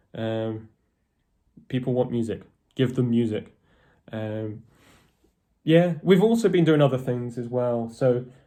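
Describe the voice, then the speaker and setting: With long, frequent pauses, a man speaks in a dark, mellow tone with ordinary pitch variation. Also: medium pitch for a man, fairly slow pace. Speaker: metal band guitarist. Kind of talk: casual vlog talk to camera. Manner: hesitant, many fillers.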